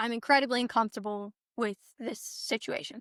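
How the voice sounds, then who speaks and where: Recorded very cleanly against a silent background with a dry, close sound and no echo, a woman with a fairly high pitch and a bright, sharp tone speaks at a moderate pace. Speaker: birth story guest on podcast. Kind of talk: casual chat, personal testimony. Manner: animated storytelling; halting, self-correcting.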